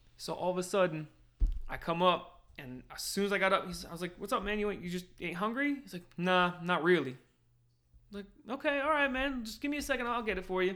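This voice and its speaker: A man with a New Jersey accent talks at a very fast pace in a high, bright and sharp voice, raised and projected, with lively intonation. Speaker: corrections officer. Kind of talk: casual chat.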